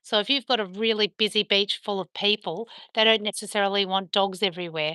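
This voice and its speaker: A woman with an Australian accent, bright, sharp tone, medium pitch and ordinary pitch variation, at a fairly quick pace, in a dry, close sound with no echo and a quiet background. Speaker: dog owner live streamer. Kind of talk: casual live stream chat. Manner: chatty.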